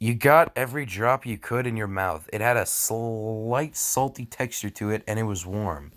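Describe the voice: A plain read-aloud passage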